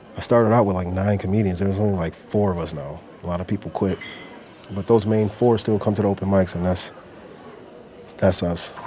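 With an American accent, a man talks at a fairly quick pace in a very deep, low pitch with ordinary pitch variation over noticeable background noise. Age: 40s. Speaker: comedian and forklift operator. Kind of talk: casual interview talk.

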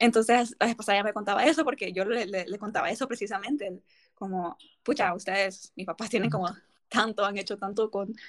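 A woman speaks in an ordinary speaking voice at a fairly quick pace. Her pitch is fairly high, with ordinary pitch variation. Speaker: podcast host. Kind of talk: casual chat.

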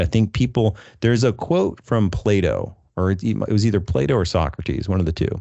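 A man with a fairly low pitch and some vocal fry talks at a moderate pace with lively intonation. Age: 30s. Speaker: marketing podcast host, MSP business owner. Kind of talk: casual interview chat. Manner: animated.

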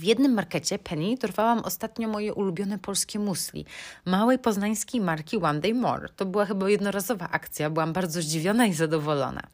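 A woman at medium pitch, very fast pace with hardly any pauses, ordinary pitch variation, on a very clean recording with a silent background. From Poland, Bydgoszcz. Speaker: podcast host. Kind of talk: casual solo podcast monologue.

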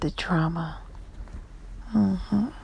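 The tone is soothing and warm, heard over noticeable background noise. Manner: slow, soothing and coaxing, with short imperative cues and warm, cheerful encouragement; warm and playful, laughing often and slipping into Spanish endearments.

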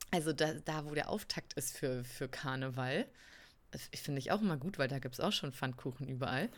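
Her voice is very deep and low, and the woman speaks at a fairly quick pace with ordinary pitch variation. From Berlin. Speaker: podcast co-host. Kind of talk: casual chat.

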